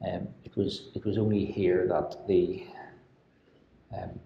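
Some light background noise sits under the audio. The voice is a man's. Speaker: video host. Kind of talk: casual tour commentary. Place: empty room. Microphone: lapel.

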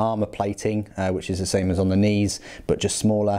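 A man speaks at a moderate pace with a fairly low pitch. His tone is dark and mellow. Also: quiet background. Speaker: hobbyist reviewing a model kit. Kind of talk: casual review walkthrough.

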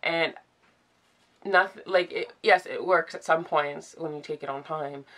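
A woman with a fairly low pitch and a bright, sharp tone speaks with fairly even intonation and long, frequent pauses. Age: 20s. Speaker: vlogger. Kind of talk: personal vlog confession. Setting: in bed, filming at home. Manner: hesitant, many fillers. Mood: emotional, vulnerable. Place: home room. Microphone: phone near.

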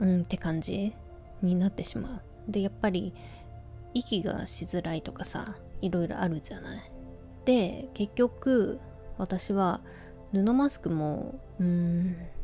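A woman speaks at a fairly slow pace in a relaxed tone, with ordinary pitch variation, big swings in loudness, and long, frequent pauses. Faint music plays in the background. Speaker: radio-style talk host. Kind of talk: sleep-inducing radio talk, casual chat to listeners. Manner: relaxed, conversational. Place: home room. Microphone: phone near.

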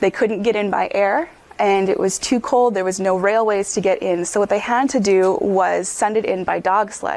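An American-accented woman has a normal speaking voice at a medium pitch for a woman. Her loudness stays very even and her intonation fairly even. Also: moderate pace. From Upper Peninsula of Michigan. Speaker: physician lecturer. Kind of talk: lecture.

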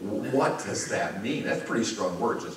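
Audible room echo and noticeable background noise around a man with an American accent, speaking at a moderate speed. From US Midwest, Chicago. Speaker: pastor. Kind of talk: sermon. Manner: conversational, with frequent fillers.

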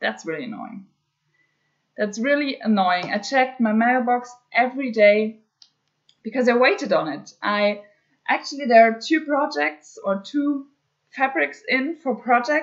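Against a quiet background, a woman with a German accent speaks in a high pitch with lively intonation. Her pace is fairly slow, with long, frequent pauses. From Germany. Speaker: cross-stitch hobby vlogger. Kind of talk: casual craft vlog update. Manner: hesitant, many filler words. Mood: mildly annoyed, resigned. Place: home room. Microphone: webcam.

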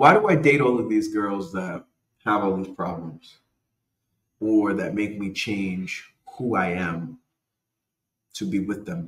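A man's fairly low voice at a fairly slow pace, with ordinary pitch variation and long, frequent pauses. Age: 40s. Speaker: podcast host. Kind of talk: casual monologue. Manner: animated.

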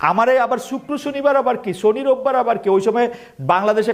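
The speaker is a man with an animated tone. His pitch varies in an ordinary way. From Bangladesh. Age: 50s. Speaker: expatriate speaker. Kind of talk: speech to audience.

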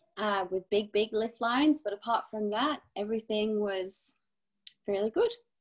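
This woman has a fairly high pitch and speaks in a British accent. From UK. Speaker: ski instructor and ski school supervisor. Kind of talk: casual interview. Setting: video call.

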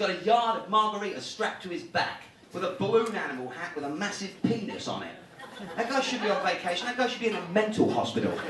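Audible room echo and light background noise surround speech delivered at a very fast pace. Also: man, high pitch for a man. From United Kingdom. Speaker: stand-up comedian. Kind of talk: live stand-up comedy set. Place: stage.

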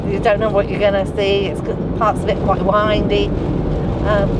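Loud background noise runs under speech delivered at a moderate pace, with a dry sound and no echo. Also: woman. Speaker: travel vlogger passenger. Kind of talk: casual vlog chat. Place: car. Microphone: phone near.

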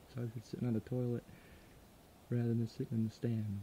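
A man with a dark, mellow, somewhat breathy tone speaks in a flat monotone, the sound dry with no echo and light background noise behind it. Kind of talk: casual vlog chat. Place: forest. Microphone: phone near.

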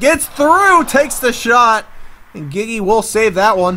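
A man speaks in a raised, projected voice. His tone is bright and sharp, with lively intonation. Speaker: esports commentator. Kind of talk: live play-by-play sports commentary of a video game hockey match. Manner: animated, hoarse and worn out, with laughs and cursing.

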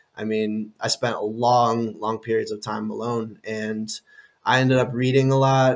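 A man with an American accent speaks at a medium pitch in a flat, monotone way. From Illinois, US Midwest. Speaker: coach and content creator. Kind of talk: interview conversation.

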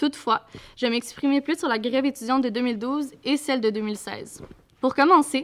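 High female voice at a moderate pace, with ordinary pitch variation. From Quebec. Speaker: student activist. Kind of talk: talk to an audience. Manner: halting. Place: classroom. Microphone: podium.

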